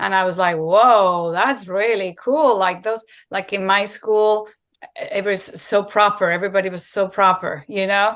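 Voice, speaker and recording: The speaker has a Spanish accent and talks at a fairly slow pace with ordinary pitch variation. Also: woman, medium pitch for a woman. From Spain. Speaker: raw vegan content creator. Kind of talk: interview. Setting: video call.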